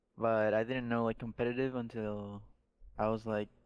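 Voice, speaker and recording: Keeping a moderate pace, a man speaks in a flat monotone. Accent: Spanish. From Mexico. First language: Spanish. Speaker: esports pro gamer. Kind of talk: podcast interview.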